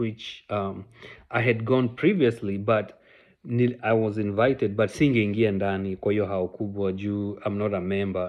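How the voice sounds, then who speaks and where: A man in a Kenyan accent, fairly slow, with fairly even intonation. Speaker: vlogger. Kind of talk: casual personal storytelling vlog. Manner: code-switching Sheng and English, halting with fillers.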